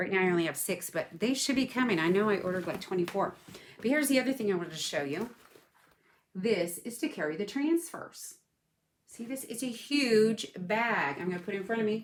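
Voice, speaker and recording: Lively in intonation, a woman talks at a fairly quick pace in a fairly high pitch. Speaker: craft product seller and video host. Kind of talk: casual unboxing livestream.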